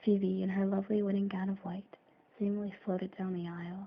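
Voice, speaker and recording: A soft-spoken woman with a medium pitch talks at a fairly quick pace in a flat, monotone delivery. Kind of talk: soft-spoken ASMR story reading. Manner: soft-spoken, hesitant reader.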